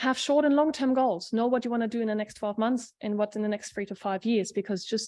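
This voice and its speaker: Against a quiet background, a woman speaks at a fairly high pitch with a dark, mellow tone and ordinary pitch variation. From Germany. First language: not English (third language). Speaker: industry scientist. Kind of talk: seminar presentation. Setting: seminar talk.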